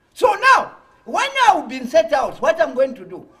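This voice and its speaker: A man speaks at an extremely high pitch with very wide pitch swings over a quiet background. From Zambia. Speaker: opposition party leader; guest. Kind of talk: political interview. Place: studio. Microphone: lapel.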